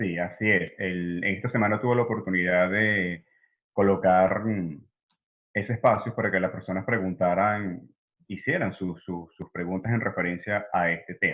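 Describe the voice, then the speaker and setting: Very deep and low, this man's voice keeps a fairly even intonation. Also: moderate pace. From Venezuela. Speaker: psychologist. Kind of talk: interview.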